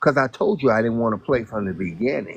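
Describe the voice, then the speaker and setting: The pitch swings very widely. It belongs to a man. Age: 60s. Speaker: guest on a live stream. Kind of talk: casual chat.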